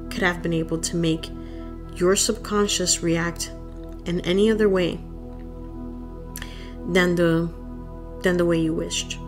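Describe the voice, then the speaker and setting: Soft-spoken, fairly slow speech with fairly even intonation and long, frequent pauses, music in the background. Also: woman, fairly low pitch for a woman. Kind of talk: audiobook reading.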